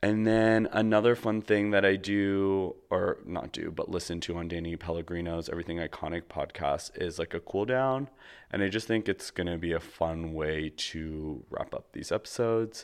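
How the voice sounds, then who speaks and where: Against a quiet background, a man speaks in a normal speaking voice at a moderate pace and a fairly low pitch, with ordinary pitch variation and hardly any pauses. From Canada. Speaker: podcast host. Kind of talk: solo personal monologue; guided relaxation.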